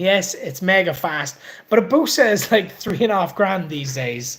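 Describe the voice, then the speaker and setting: Speaking at a moderate pace with a Welsh accent, a man swings his pitch very widely. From Wales. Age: 30s. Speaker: motorbike and car YouTuber. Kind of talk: live stream chat reading viewer comments. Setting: live stream from workshop. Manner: casual, hesitant with many fillers.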